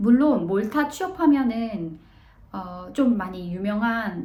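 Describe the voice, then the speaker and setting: In a room with audible echo, a somewhat breathy woman speaks with very wide pitch swings. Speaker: vlogger, office worker abroad. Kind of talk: casual vlog talk. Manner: hesitant, many fillers.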